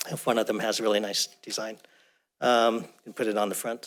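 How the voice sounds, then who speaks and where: A man with a medium pitch talks at a fairly quick pace in a monotone, flat intonation. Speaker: planning commissioner. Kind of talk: public meeting discussion. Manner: fast.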